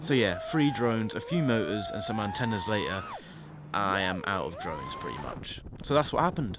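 Over noticeable background noise and audible room echo, a man with a fairly low pitch talks at a fairly quick pace, his pitch swinging very widely. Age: 20s. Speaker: drone pilot vlogger. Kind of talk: vlog voiceover narration.

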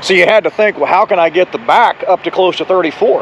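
Talking at a fairly quick pace and high pitch, a man sounds dry with no echo, light background noise behind him. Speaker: truck driver vlogger. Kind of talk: casual vlog chat. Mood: relaxed, upbeat. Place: street. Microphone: phone near.

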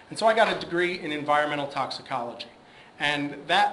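Speaking at a fairly high pitch with ordinary pitch variation, a man comes through noticeable background noise and audible room echo. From US East Coast. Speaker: government scientist and speaker. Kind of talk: career talk at a symposium. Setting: stage with audience. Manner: hesitant, many fillers.

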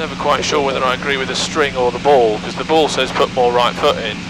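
Despite loud background noise, a man's voice comes through with a dry sound with no echo and ordinary pitch variation. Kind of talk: in-flight commentary. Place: plane. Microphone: headset.

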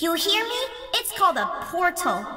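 A woman uses a put-on character voice at an extremely high pitch and a fairly slow pace. There is a slight echo. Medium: dub. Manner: teasing, bossy.

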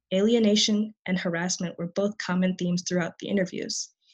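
A woman speaks at a fairly quick pace in a somewhat breathy voice with fairly even intonation. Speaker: college student. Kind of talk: conference panel presentation.

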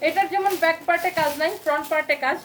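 An animated tone against noticeable background noise. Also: woman. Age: 30s. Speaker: clothing seller. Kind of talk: live sales pitch.

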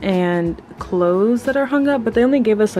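With music in the background, a woman speaks at a moderate pace with ordinary pitch variation. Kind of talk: casual vlog chat. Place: home room. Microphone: phone near.

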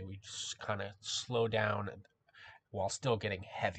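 A man's somewhat breathy, fairly low-pitched voice against a quiet background. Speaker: music reaction youtuber. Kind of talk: reaction video commentary. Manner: animated.

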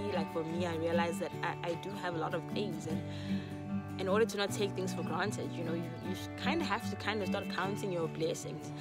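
Over loud background music, a woman speaks at a fairly quick pace in a dry sound with no echo. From South Africa. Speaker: YouTuber. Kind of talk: casual talk to camera. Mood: warm, earnest. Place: garden. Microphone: phone near.

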